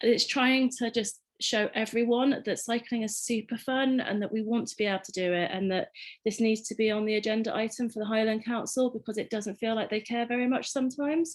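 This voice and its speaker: A woman talks at a fairly quick pace with an English accent. Her pitch is fairly high and her intonation fairly even. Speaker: community cycling ride organiser. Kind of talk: panel presentation. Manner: casual with frequent fillers.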